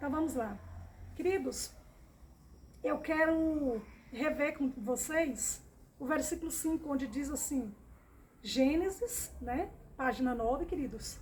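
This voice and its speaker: Delivered at a very slow pace with long, frequent pauses, this voice has a warm tone and ordinary pitch variation. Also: woman, high pitch for a woman. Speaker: Bible teacher. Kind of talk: Bible study. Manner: warm, repetitive addressing.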